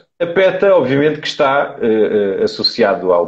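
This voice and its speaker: A man with a European Portuguese accent speaks at a fairly high pitch. His pitch swings very widely. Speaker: carnivore diet advocate. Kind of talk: live interview. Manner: hesitant, many fillers.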